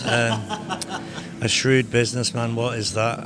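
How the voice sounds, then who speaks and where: Recorded with audible room echo and noticeable background noise, a man with a Liverpool accent speaks at a fairly slow pace. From Liverpool, England. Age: 50s. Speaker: street artist. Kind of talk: casual interview. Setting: art exhibition in a warehouse.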